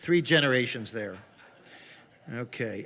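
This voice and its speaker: Bright and sharp in tone, this voice with an American accent shows ordinary pitch variation. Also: man. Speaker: investigative journalist and author. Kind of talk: conference talk with slides. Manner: fast; animated.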